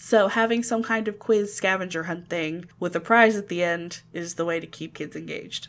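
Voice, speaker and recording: A woman's plain, everyday voice, fairly low in pitch, at a moderate pace with hardly any pauses, ordinary pitch variation and big swings in loudness. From Ocala, Florida. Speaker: podcast co-host. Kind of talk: casual chat. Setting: video call.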